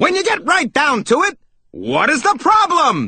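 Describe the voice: A man shouts in a put-on character voice at an extremely high pitch, with a bright, sharp tone, very wide pitch swings and a fairly slow pace.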